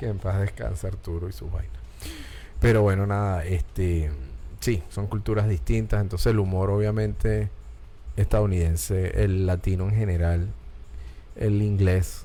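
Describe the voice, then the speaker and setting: A man with a Caracas Venezuelan accent and a very deep, low pitch, fairly slow with lively intonation and long, frequent pauses, amid audible room echo and music in the background. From Venezuela, Caracas. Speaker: talk show host. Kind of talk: casual chat. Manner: animated.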